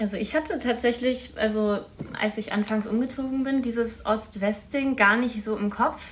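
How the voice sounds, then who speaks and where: Noticeable background noise accompanies a woman with a fairly high pitch. She keeps a moderate pace and fairly even intonation. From Baden-Württemberg, near Freiburg. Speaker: master's student, youth council member. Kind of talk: casual interview.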